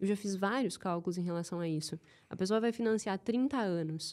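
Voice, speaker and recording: With a southern Brazilian accent, a woman speaks at medium pitch and a fairly quick pace with ordinary pitch variation in a very clean recording with a silent background. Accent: gaúcho accent, kept. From southern Brazil, Rio Grande do Sul (Santa Maria). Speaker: behavioral finance specialist and CFO. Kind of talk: podcast interview.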